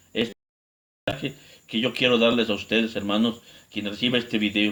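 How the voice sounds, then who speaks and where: A man talks fairly quickly at a medium pitch, his intonation monotone and flat. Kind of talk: religious teaching video.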